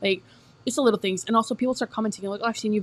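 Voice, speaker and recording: Here a woman speaks. Her pitch varies in an ordinary way. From Northern California. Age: 20s. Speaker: lifestyle and cleaning content creator. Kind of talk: casual vlog chat while cleaning. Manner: chatty, rambling flow.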